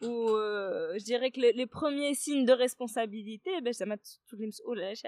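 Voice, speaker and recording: Fairly high in pitch, a woman talks at a fairly quick pace with ordinary pitch variation in a plain, everyday voice. The sound is dry and close, with no echo. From Morocco, Kenitra. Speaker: startup incubator director. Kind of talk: interview. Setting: in person.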